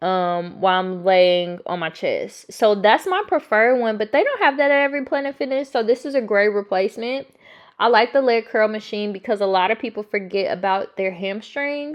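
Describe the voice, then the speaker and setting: At a moderate pace, a woman talks in a fairly high pitch with an animated, excited tone and lively intonation. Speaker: fitness vlogger. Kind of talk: workout voiceover vlog, casual.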